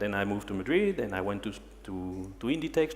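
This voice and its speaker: A man with a French accent at a very fast pace, amid audible room echo and noticeable background noise. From France, Paris. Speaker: human resources manager. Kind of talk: conference talk. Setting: stage with audience. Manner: halting.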